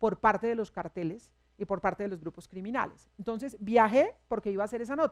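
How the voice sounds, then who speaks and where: A woman with an unremarkable speaking voice and a fairly high pitch talks at a fairly quick pace with ordinary pitch variation, the sound dry and close with no echo. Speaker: radio news director and journalist. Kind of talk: public talk at a university forum.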